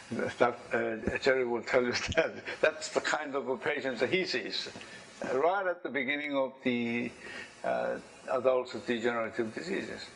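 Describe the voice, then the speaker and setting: A man speaks at a moderate pace and medium pitch, with ordinary pitch variation. Noticeable background noise is present. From Korea. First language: Korean. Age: 70s. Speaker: engineer and inventor giving a talk. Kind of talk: presentation to an audience. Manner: halting.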